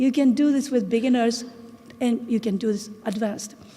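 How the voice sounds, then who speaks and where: In a Japanese accent, a woman speaks at a high pitch with ordinary pitch variation. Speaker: English teacher and researcher. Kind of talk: conference talk. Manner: halting.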